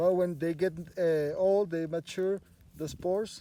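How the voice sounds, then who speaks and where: Speaking at a fairly slow pace, a man with a Spanish accent has a high pitch and a dark, mellow tone. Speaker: biologist and mushroom guide. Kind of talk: field guided walk explanation. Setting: outdoors in forest. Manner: halting with many fillers and repeats.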